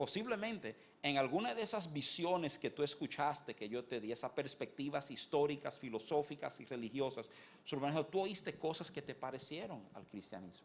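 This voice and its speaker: Fairly high in pitch, a man talks at a fairly quick pace. His intonation is lively. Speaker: pastor. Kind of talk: sermon. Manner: fast.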